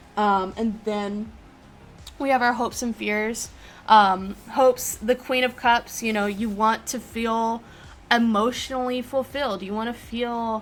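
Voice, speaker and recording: Woman's fairly high-pitched, monotone, flat delivery at a fairly slow pace, with music in the background. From United States. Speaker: tarot reader and streamer. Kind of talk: live-streamed tarot reading. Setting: live stream with chat. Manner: casual with many fillers.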